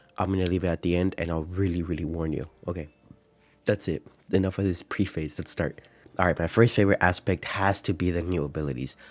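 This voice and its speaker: A man's very deep, low voice at a very fast pace, with music in the background. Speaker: gaming YouTuber. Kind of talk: casual video commentary. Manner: trying to sound energetic.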